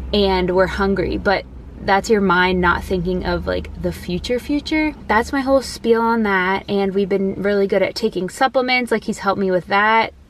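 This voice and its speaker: Dry with no echo, the recording has a woman speaking at a moderate pace with ordinary pitch variation and light background noise. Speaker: vlogger. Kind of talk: casual vlog chat. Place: car. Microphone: phone near.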